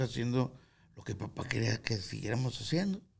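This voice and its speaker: A man with medium pitch, a fairly quick pace and a somewhat breathy voice. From Guadalupe, Nuevo León, Mexico; Nuevo León, Mexico. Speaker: musician; podcast guest. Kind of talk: interview. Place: studio. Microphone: studio mic.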